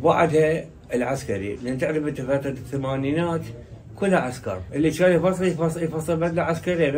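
In a Diyala accent, the somewhat breathy voice keeps a moderate pace over light background noise. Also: man. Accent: Iraqi Arabic, Diyala dialect. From Diyala, Iraq. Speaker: tailor. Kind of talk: interview answer. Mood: nostalgic, proud. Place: shop.

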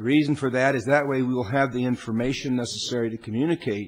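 Here a man speaks at a moderate pace. His intonation stays fairly even. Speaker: presiding council official. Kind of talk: formal meeting procedure announcement. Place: hall.

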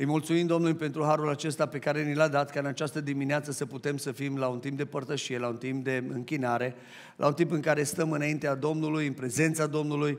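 A man speaks at a fairly quick pace. His intonation is monotone and flat. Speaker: pastor. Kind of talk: sermon. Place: church. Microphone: headset.

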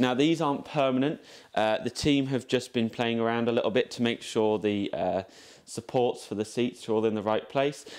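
With an English accent, a man talks at a moderate pace using fairly even intonation. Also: medium pitch for a man. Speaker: carriage restoration volunteer. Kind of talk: guided tour.

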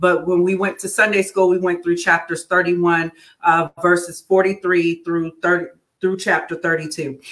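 Against a quiet background, a woman speaks at a fairly slow pace with a fairly low pitch and monotone, flat intonation. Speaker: church minister. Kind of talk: Bible study teaching. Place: home room.

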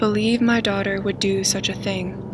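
A woman is speaking with noticeable background noise. The sound is dry, with no echo. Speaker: true crime narrator. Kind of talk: scripted documentary narration.

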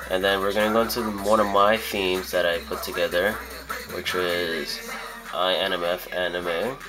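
A man at a fairly slow pace, with clear music in the background. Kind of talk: tutorial. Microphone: phone near.

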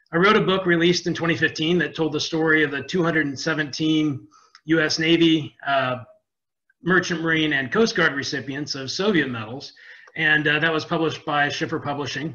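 A man at a moderate pace, with ordinary pitch variation and a quiet background. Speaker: webinar presenter. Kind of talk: lecture. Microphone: webcam.

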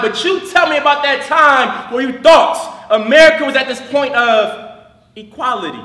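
A man projects his raised voice at a moderate pace with ordinary pitch variation. Audible room echo surrounds him. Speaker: slam poet. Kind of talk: slam poetry performance. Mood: passionate, protesting. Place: stage.

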